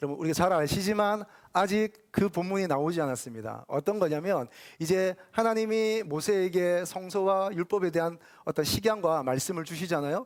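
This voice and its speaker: Recorded very cleanly against a silent background, a man speaks at a high pitch with ordinary pitch variation. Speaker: pastor. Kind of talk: sermon. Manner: fast.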